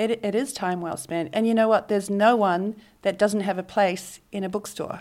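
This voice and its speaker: In a very clean recording with a silent background, a woman speaks at medium pitch and a moderate pace with fairly even intonation. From New Zealand. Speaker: book publicist. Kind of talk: interview conversation. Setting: on location in Bondi Beach.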